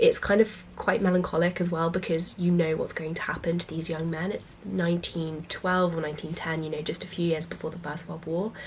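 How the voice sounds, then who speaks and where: A woman's fairly low, somewhat breathy voice, monotone and flat in intonation, at a fairly quick pace. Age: 20s. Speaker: book vlogger. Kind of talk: book recommendations vlog.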